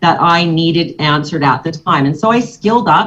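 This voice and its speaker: With an ordinary speaking voice, a woman talks at a moderate pace in a fairly low pitch, with ordinary pitch variation. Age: 60s. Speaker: financial services agent. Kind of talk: motivational talk to a business audience.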